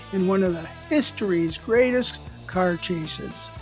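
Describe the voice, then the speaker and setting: The speech goes at a moderate pace. Behind it, music is playing. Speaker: scale model builder. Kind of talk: hobby video narration. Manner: soft-spoken.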